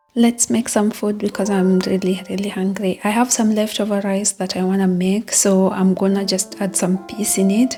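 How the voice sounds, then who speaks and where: A woman talks in a flat monotone with hardly any pauses while music plays in the background. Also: medium pitch for a woman, moderate pace. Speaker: student vlogger. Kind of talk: casual vlog narration.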